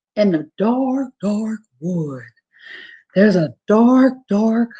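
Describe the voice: A female-sounding put-on character voice, fairly high-pitched, speaks at a very slow pace.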